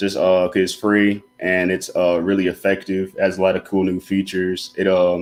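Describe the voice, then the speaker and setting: With an Alabama accent, a man speaks in a very deep, low, monotone, flat voice at a moderate pace. His loudness stays very even, and he hardly pauses. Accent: Southern US, Alabama. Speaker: student designer. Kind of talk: casual interview. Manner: casual, laid-back.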